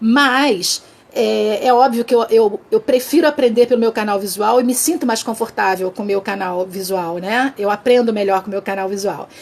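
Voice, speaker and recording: Noticeable background noise accompanies a woman with a fairly high pitch. She talks with ordinary pitch variation and hardly any pauses. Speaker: communication trainer, live session host. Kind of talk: interactive mini-lecture on Instagram live. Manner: fast; halting, many false starts.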